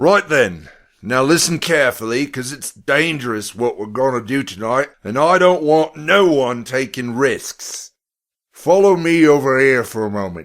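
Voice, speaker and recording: A man uses a put-on character voice, gruff and loud at medium pitch. He keeps a moderate pace. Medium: read story.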